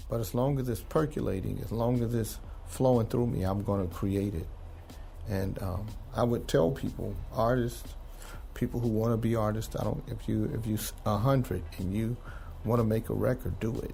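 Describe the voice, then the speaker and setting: An American-accented man at a moderate pace with fairly even intonation, plus audible room echo and music in the background. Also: medium pitch for a man. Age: 60s. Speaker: music artist and producer. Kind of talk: interview.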